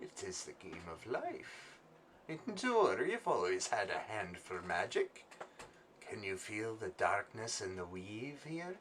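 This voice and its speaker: Putting on a character voice at medium pitch, a man cackles at a fairly slow pace over clear background noise. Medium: actual play. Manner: cryptic, cackling.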